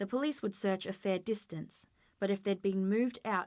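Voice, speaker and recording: With an ordinary speaking voice at medium pitch, a woman talks at a moderate pace with fairly even intonation on a very clean recording against a silent background. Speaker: author. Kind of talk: dramatic audiobook reading.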